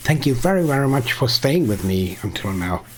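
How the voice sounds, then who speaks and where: Very wide pitch swings from a man with a non-native accent, medium in pitch, at a fairly quick pace, over noticeable background noise. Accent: quirky non-native English. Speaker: game streamer. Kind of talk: live stream gameplay tutorial. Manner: mumbling; halting.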